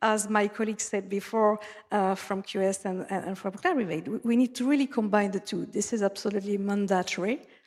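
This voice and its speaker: A woman with a French accent speaks at a medium pitch. Her pace is fairly quick and her intonation fairly even. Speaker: conference speaker, data analytics expert. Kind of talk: conference presentation. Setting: conference stage with audience. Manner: halting, with fillers.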